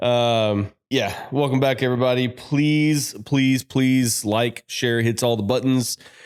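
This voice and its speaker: At a very slow pace, a man of medium pitch speaks with very even loudness and hardly any pauses. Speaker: podcast co-host. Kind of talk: casual chat. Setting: audio-only podcast recording.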